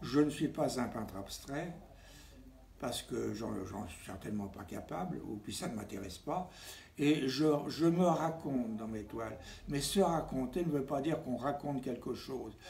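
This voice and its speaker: In a room with audible echo, a man speaks at a medium pitch and fairly slow pace with lively intonation, vocal fry and big swings in loudness. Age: 90s. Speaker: painter. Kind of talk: interview. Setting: at home. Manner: halting.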